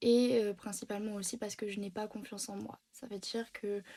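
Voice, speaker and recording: A woman speaks at a moderate pace, fairly high in pitch. Her intonation stays monotone and flat. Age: 20s. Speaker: beautician and video host. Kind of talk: casual monologue to camera. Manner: halting, many hesitations; unscripted, searching for words.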